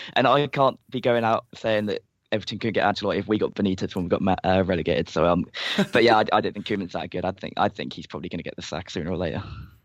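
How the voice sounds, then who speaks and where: A man with an English accent speaks very fast in a fairly low voice. His pitch varies in an ordinary way. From England. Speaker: football writer and fan panelist. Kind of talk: casual chat.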